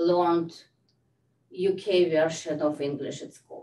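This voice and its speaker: This is a woman talking. She speaks with a non-native accent. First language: not English. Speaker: health data researcher. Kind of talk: lecture. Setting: video call. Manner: halting.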